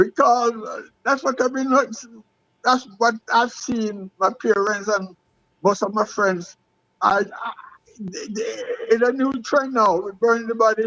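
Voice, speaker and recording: A man speaks with an extremely high pitch, a bright, sharp tone and ordinary pitch variation. His pace is fairly slow, broken by long, frequent pauses. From Jamaica, Westmoreland. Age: 70s. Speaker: retired athlete. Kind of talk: interview. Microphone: phone mic, far from it.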